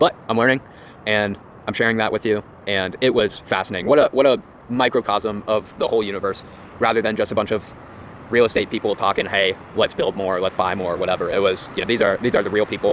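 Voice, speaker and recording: This man talks at a very fast pace with a fairly low pitch. His intonation stays fairly even. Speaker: real estate commentator. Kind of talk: casual talk to camera.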